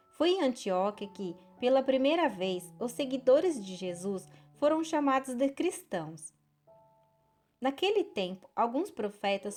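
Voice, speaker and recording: A woman with a high pitch speaks at a fairly slow pace, her pitch swinging very widely. Music plays in the background. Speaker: Bible narrator. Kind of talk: audio Bible reading.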